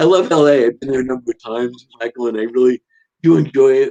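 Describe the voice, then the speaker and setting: Speaking at a fairly quick pace with a New York accent, a man with a medium-pitched voice comes through with a dry, close sound and no echo. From Long Island, New York. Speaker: writer. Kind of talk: casual chat.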